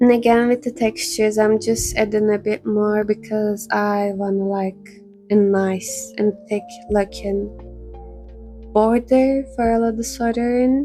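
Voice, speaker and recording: With music in the background, a woman of fairly high pitch talks with fairly even intonation. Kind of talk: tutorial narration.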